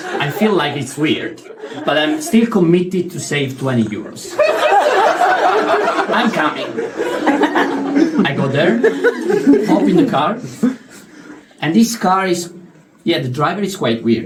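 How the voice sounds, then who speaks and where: A man with an Italian accent talks at a high pitch and a very slow pace, his pitch swinging very widely. He leaves long, frequent pauses, and noticeable background noise is present. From Italy. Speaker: stand-up comedian. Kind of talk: stand-up comedy storytelling. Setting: live comedy venue.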